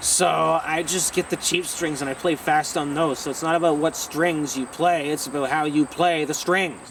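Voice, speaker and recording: A man's fairly high voice with hardly any pauses. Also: moderate pace. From Ontario, Canada. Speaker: rock musician. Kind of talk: casual Q&A monologue. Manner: loud, often shouting; animated.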